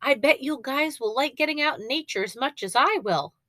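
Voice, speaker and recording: Putting on a character voice, a woman speaks high-pitched and fairly quick with an enthusiastic tone. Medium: read story. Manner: bright, enthusiastic.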